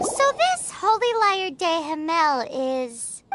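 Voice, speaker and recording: An extremely high, squeaky put-on character voice at a very slow pace. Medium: video game.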